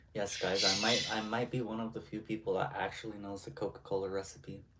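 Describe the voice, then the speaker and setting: A man speaks at a fairly low pitch with fairly even intonation. Noticeable background noise is present. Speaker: streamer. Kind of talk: casual chat.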